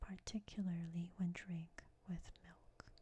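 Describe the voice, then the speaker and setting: The speaker is soft-spoken, whispering at a very slow pace. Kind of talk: soft-spoken ASMR reading of a book. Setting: binaural microphone recording. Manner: soft-spoken, whispery.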